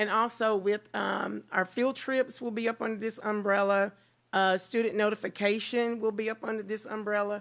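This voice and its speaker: The delivery keeps a moderate pace with monotone, flat intonation. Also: woman, fairly high pitch for a woman. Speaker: school transportation routing staff. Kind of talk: board meeting presentation. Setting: school board meeting. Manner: loud.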